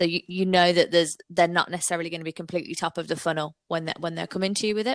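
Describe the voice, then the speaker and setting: In a Brummie accent, a woman speaks very fast with hardly any pauses, in a monotone, flat intonation at a fairly low pitch, with a dry, close sound and no echo. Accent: Brummie twang. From Birmingham, England. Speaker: digital marketing agency owner. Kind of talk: podcast interview.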